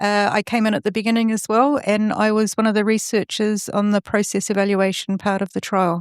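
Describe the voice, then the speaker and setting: Speaking in a New Zealand accent, a woman goes at a fairly quick pace with monotone, flat intonation, hardly any pauses and very even loudness, in a very clean, dry, close recording with a silent background and no echo. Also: medium pitch for a woman. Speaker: research fellow and yoga teacher. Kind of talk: podcast interview. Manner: hesitant, with frequent fillers.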